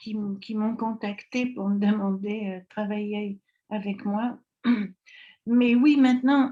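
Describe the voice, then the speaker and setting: With a dark, mellow tone and a somewhat breathy sound, a woman talks at a very slow pace, leaving long, frequent pauses in fairly even intonation. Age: 80s+. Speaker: network marketing distributor. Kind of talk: interview. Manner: hesitant, many fillers.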